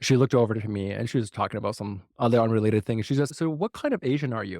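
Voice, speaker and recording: The speaker has a Mandarin accent. The recording is very clean with a silent background and a dry, close sound with no echo. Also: man. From US, Chinese immigrant family. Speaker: podcast host. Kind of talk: interview conversation. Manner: casual, filler-heavy.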